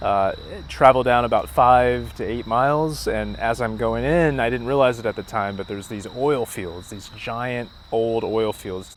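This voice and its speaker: Over noticeable background noise, a man of medium pitch speaks at a moderate pace with ordinary pitch variation and big swings in loudness. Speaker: street interviewer and narrator. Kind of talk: documentary narration.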